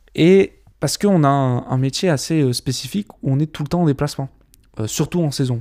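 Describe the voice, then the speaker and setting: The man's voice has a dark, mellow tone. His pitch sits fairly high for a man. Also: dry, close sound with no echo. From French Alps (Gap). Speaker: videographer and documentary filmmaker. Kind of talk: casual podcast chat.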